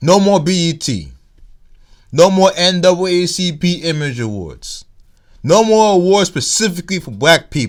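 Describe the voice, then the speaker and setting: In a very clean recording with a silent background, a man with a slight Nigerian accent and high pitch speaks at a fairly slow pace with ordinary pitch variation. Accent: weak Nigerian accent, can put it on. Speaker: YouTube commentator. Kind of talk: vlog commentary. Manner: casual, halting with restarts.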